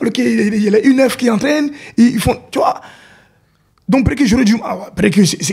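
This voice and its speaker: Very fast speech with lively intonation, broken by long, frequent pauses. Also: man, extremely high pitch for a man. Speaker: football coach, technical director. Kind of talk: interview. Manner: halting, repetitive.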